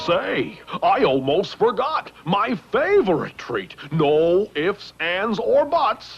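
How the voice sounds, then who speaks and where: A cartoonish character voice with a fairly high pitch moves at a very slow pace with hardly any pauses. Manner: jolly, boisterous.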